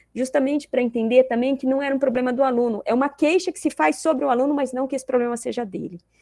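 A woman speaks at a high pitch. The recording is very clean with a silent background, the sound dry and close with no echo. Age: 50s. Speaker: psychology professor. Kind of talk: interview.

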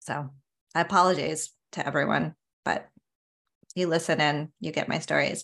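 A woman with an American accent speaks at a moderate pace, her pitch very deep and low, with vocal fry and a monotone, flat intonation. She leaves long, frequent pauses in a very clean recording with a silent background. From US West Coast, San Diego. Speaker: career podcast co-host, former Marine. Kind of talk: casual chat.

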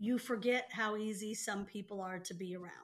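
A woman talks in an ordinary speaking voice at a medium pitch. Her pace is moderate and her intonation fairly even. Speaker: sister of the host. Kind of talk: casual family conversation.

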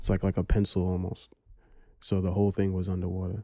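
A man's very deep, low voice in a New York accent, flat and monotone, at a moderate pace. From Brooklyn, New York. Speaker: historian. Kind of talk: casual chat.

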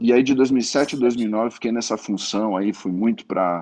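Fairly low in pitch, a man with a dark, mellow tone speaks at a fairly slow pace. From Brazil, Santos (São Paulo coast). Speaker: sportswear company manager. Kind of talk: interview. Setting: live stream.

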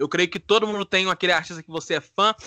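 In a raised, projected voice with a bright, sharp tone, a man speaks high and at a fairly quick pace, the sound dry and close with no echo over a quiet background. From Divinópolis, Minas Gerais, Brazil. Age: 20s. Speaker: podcast co-host, law student. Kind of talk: casual chat.

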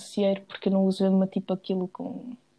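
A dark, mellow, somewhat breathy voice in a European Portuguese accent. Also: woman. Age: 20s. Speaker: podcast co-host. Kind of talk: casual chat.

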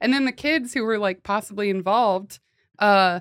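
In a very clean recording with a silent background, a woman with an American accent and a plain, everyday voice speaks at a moderate pace, her pitch fairly high with ordinary variation. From US Pacific Northwest, Washington state (Olympia area). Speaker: comedy podcast co-host. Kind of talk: casual chat.

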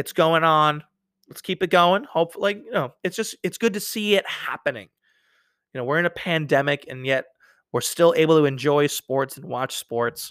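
An ordinary speaking voice from a man with an American accent, fairly high in pitch, at a moderate pace with big swings in loudness, dry and close with no echo, in a very clean recording with a silent background. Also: ordinary pitch variation. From New York. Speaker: sports podcast host. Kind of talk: casual solo sports talk.

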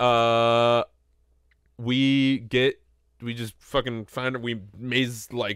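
A man's very slow, monotone delivery at medium pitch, with flat intonation. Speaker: gaming podcast co-host. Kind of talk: casual chat.

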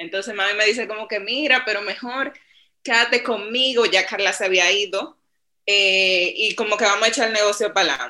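Fairly high in pitch for a woman, her bright, sharp voice moves at a fairly quick pace with ordinary pitch variation. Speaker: marketing and sales manager. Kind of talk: interview.

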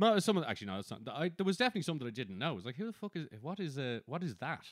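This man talks very fast in a fairly high pitch, his voice making very wide pitch swings. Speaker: podcast host. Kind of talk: casual banter chat. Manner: profane, joking.

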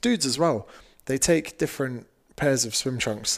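The speaker has a southern English accent, heard on a very clean recording with a silent background. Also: man. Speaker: fitness coach and author. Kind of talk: casual chat.

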